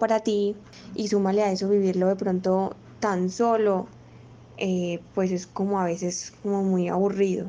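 Speaking at a fairly slow pace, a woman with an Antioquian accent has a medium pitch. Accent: Colombian paisa Spanish. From Colombia, Medellín. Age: 20s. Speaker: physiotherapist and new mother. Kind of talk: interview testimony.

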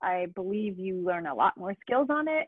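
Lively intonation runs through an unremarkable speaking voice. The woman keeps a moderate pace. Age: 30s. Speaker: motorcycle rider and brand ambassador. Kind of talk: casual chat. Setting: remote call.

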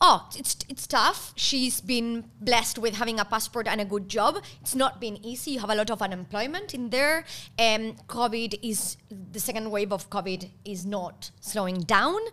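With a Spanish accent, a woman speaks at a moderate pace in a fairly high voice with a bright, sharp tone and ordinary pitch variation. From Argentina. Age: 30s. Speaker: podcast co-host. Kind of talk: casual chat.

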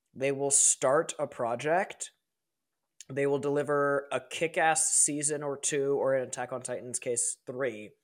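Here is a man with a normal speaking voice, fairly high in pitch and fairly even in intonation. He speaks at a fairly slow pace, and the recording is very clean with a silent background. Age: 20s. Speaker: streamer and YouTuber. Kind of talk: casual chat.

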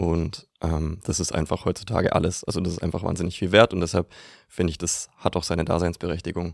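A man speaks with a very deep, low pitch and monotone, flat intonation at a fairly quick pace. The recording is very clean, with a silent background. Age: 20s. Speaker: marketing consultant. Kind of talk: podcast interview. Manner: many filler sounds.

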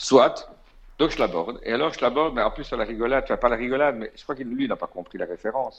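A man with a Belgian accent talks at a very fast pace. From Belgium. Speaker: DJ and music industry insider. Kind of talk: casual storytelling chat.

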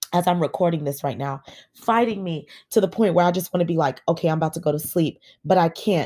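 This woman has a fairly low pitch and a dark, mellow tone, with ordinary pitch variation. The recording is very clean, with a silent background. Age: 30s. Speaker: podcast host. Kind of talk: faith testimony. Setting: recording from bed. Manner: hesitant with many fillers.

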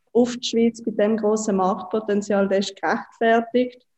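A woman speaks at a moderate pace in a medium-pitched, somewhat breathy voice. Her tone is dark and mellow, and her intonation is monotone and flat. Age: 20s. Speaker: startup co-founder and marketing chief. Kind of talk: interview. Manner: hesitant with frequent fillers.

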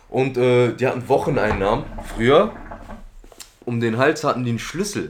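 Pausing long and often, a man speaks at medium pitch and moderate pace with lively intonation over noticeable background noise. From Germany, Duisburg (Ruhr area). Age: 20s. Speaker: former youth offender telling his life story. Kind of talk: casual chat.

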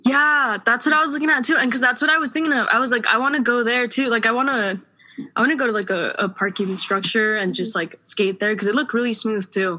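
The speaker talks at a very fast pace with hardly any pauses. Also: woman, high pitch for a woman, ordinary pitch variation. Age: 20s. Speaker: podcast co-host. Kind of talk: casual chat.

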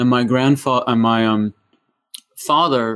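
With an American accent, a man talks at a moderate pace with fairly even intonation. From US, Massachusetts (New England). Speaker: chiropractor and functional neurology practitioner. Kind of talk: interview, explaining health topics. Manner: halting, many fillers.

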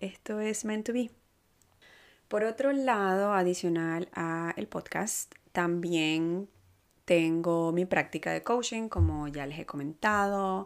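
Here a woman talks very slowly, at a fairly low pitch with ordinary pitch variation. The recording is very clean, its background silent. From Venezuela. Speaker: podcast host and life coach. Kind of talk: casual monologue. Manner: halting, many fillers and repetitions.

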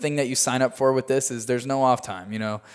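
In a very clean recording with a silent background, a man with an American accent and an unremarkable speaking voice talks at a fairly quick pace, his medium pitch held in fairly even intonation. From US Midwest, Chicago area, Illinois. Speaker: tour manager and production company owner. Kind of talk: casual interview. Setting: studio in Hollywood.

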